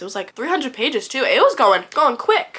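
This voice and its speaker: Here a woman is talking. She goes at a very fast pace. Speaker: book reviewer. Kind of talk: casual talk to camera. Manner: chatty, rambling.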